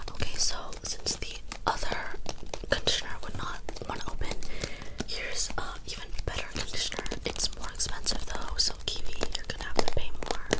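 A woman whispering at a fairly quick pace. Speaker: livestreamer. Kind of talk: casual stream chat. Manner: soft, close ASMR-style speaking. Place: home room. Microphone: webcam.

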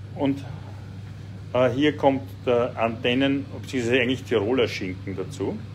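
At a fairly slow pace with ordinary pitch variation, the speaker leaves long, frequent pauses over light background noise. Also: man. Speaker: cooking show host and politician. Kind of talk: casual chat while cooking. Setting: home kitchen, live stream. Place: kitchen. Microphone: phone near.

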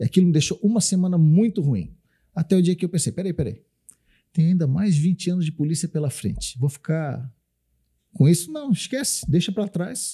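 Against a quiet background, a man with a high voice and a dark, mellow tone speaks with long, frequent pauses. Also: ordinary pitch variation, moderate pace. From Florianópolis, southern Brazil; Santa Catarina, Brazil. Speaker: military police officer; podcast guest. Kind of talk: podcast interview. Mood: calm, reflective. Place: studio. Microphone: studio mic.

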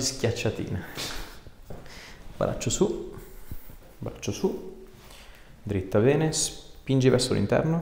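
A man at a very slow pace amid noticeable background noise. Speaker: osteopath. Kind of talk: instructions to a patient during an osteopathic treatment. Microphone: lapel.

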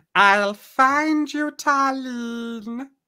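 The voice sounds female and is pitched high. It is a put-on character voice.

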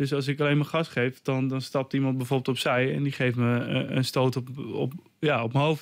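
Over a quiet background, a man talks in a monotone with flat intonation. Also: moderate pace, very even loudness. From Netherlands, Almere; Netherlands. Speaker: martial arts trainer and author; interview guest, martial arts teacher. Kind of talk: radio interview. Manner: halting, many repetitions and fillers. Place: studio. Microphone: studio mic.

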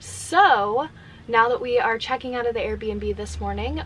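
The woman talks at a moderate pace with light background noise behind her. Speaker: van life vlogger. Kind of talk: casual vlog chat. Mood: relaxed, reflective. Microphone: phone near.

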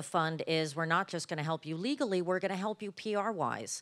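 Against a quiet background, a woman speaks with lively intonation at a fairly low pitch. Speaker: panel moderator. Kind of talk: panel discussion. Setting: stage with audience. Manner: lots of filler words. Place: stage. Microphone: handheld.

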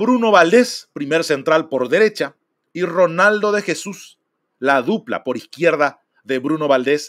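A man with an unremarkable speaking voice speaks at a fairly high pitch and fairly slow pace. His intonation is lively, and the background is quiet. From Paraguay. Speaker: football streamer and fan commentator; football streamer, fan commentator. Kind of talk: casual live stream talk. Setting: live stream. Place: home room.

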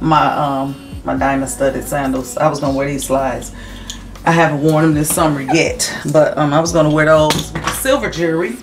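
Clear music plays behind a woman with a very deep, low pitch. Her intonation stays fairly even. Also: fairly quick pace. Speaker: vlogger. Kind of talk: casual vlog chat. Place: home room. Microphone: camera far.

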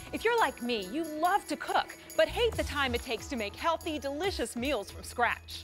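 A woman talks in an upbeat tone at a moderate pace with hardly any pauses, music clearly playing in the background. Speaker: infomercial co-host. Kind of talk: TV infomercial presentation. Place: studio.

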